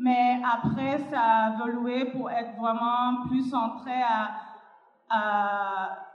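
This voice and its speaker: Her pitch is fairly high, and this woman speaks with monotone, flat intonation. Audible room echo fills the space. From Cuba. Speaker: panelist, activist. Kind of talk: panel discussion.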